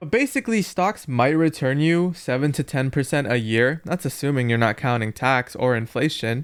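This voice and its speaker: A man's plain, everyday voice, fairly high in pitch, with lively intonation, a moderate pace and hardly any pauses, in a very clean recording with a silent background. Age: 20s. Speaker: YouTuber and entrepreneur. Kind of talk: casual commentary over gameplay.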